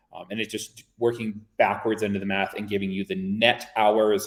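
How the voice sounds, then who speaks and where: Fairly low in pitch, a man speaks in a monotone, flat intonation. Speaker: workshop presenter. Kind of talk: webinar presentation. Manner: fast; casual.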